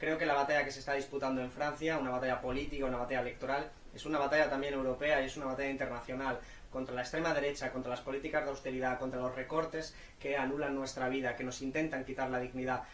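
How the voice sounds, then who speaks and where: The speech is very fast and in a monotone, flat intonation, with noticeable background noise and audible room echo. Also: man, medium pitch for a man. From Spain. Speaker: politician. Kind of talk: video message of support. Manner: fluent.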